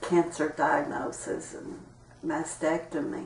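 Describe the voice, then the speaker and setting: A woman speaks very slowly with an Appalachian accent. Noticeable background noise and audible room echo come through. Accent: Appalachian Kentucky. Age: 60s. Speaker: interviewee sharing health experiences. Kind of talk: interview testimony.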